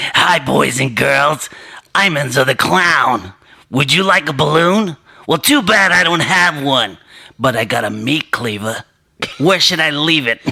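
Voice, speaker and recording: A man's raspy, put-on character voice, fairly high in pitch, at a moderate pace. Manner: menacing, creepy.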